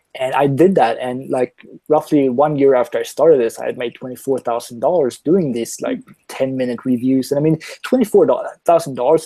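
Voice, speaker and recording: Fairly high-pitched male speech with a Swedish accent, a dark, mellow tone, ordinary pitch variation, a fairly quick pace and a dry, close sound with no echo. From Sweden. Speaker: online marketer, product reviewer. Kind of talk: interview on live call. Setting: live online call.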